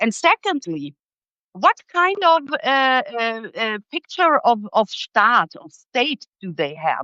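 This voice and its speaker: A woman with a German accent and a high pitch speaks at a very slow pace, with very wide pitch swings and big swings in loudness. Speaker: political commentator. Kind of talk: live interview discussion. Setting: live video stream. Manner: hesitant, many fillers and restarts.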